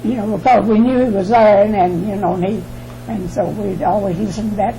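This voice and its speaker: Talking at a fairly quick pace with fairly even intonation, a woman with a medium-pitched voice is heard over noticeable background noise and audible room echo. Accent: American. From US South, Alabama. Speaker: interviewee. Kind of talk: oral history interview. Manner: halting.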